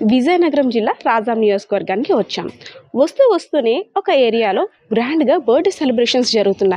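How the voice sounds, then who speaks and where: Noticeable background noise accompanies a woman whose high pitch moves in very wide swings while her loudness stays very even. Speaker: interviewer. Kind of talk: introduction to camera.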